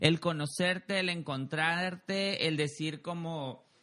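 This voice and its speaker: This man speaks at a high pitch with a bright, sharp tone. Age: 30s. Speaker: podcast host. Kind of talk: casual chat.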